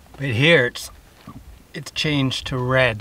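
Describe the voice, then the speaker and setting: A man's medium-pitched voice at a very slow pace with fairly even intonation, over noticeable background noise. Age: 50s. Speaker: outdoor vlogger. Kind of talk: casual vlog narration. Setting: outdoors. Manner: halting.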